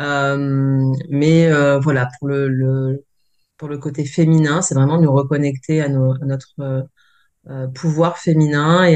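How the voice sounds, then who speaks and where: Very slowly, a woman speaks. Her pitch is very deep and low. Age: 40s. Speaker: energy healer and massage therapist. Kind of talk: interview testimony. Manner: soft-spoken; hesitant, many fillers.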